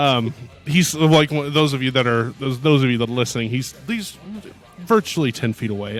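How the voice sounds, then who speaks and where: A man's moderate-paced speech plays with music in the background. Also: medium pitch for a man, ordinary pitch variation. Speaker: podcast host.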